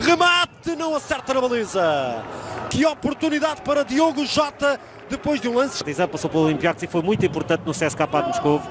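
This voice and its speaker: Over noticeable background noise, a man speaks at a fairly quick pace in an extremely high, animated voice with very wide pitch swings. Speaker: football commentator. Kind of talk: live football commentary. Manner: animated, fast-paced play-by-play that surges on chances and goals.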